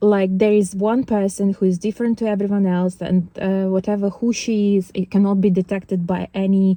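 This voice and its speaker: On a very clean recording with a silent background, a woman with a non-native accent speaks in a dark, mellow tone, the sound dry and close with no echo. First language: not English. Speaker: spiritual vlogger. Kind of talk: casual monologue vlog. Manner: halting, many fillers and restarts.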